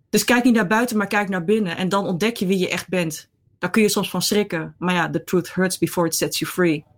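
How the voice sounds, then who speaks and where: A woman's plain, everyday voice at a medium pitch and fairly quick pace, on a very clean recording with a silent background. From Netherlands. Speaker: columnist. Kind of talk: interview.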